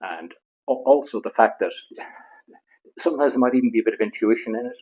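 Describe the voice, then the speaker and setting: A man speaks with an Irish accent. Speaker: veterinarian. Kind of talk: interview answer.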